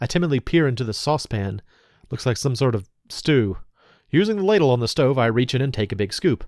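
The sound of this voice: Over a quiet background, an unforced reading voice carries lively intonation.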